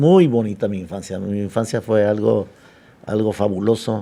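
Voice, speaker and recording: This man's voice is fairly low, with a dark, mellow tone. He speaks at a fairly slow pace with fairly even intonation. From Mexico, Manzanillo, Colima. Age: 70s. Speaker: sports figure and teacher. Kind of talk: podcast interview.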